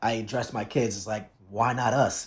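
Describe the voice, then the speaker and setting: A man with an American accent and a plain, everyday voice speaks at a moderate pace and a fairly low pitch. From New Jersey, Jersey City area. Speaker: teacher. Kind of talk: casual chat.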